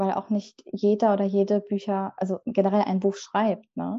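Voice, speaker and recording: A woman speaks with a dark, mellow tone at a moderate pace. The background is quiet. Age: 20s. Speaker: book designer and author. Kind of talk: casual interview.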